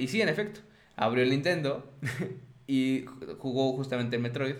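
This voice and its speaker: Speaking at a fairly quick pace with lively intonation, a man with a Mexican accent uses a medium pitch while audible room echo surrounds him. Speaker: video game podcast host. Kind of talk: casual chat.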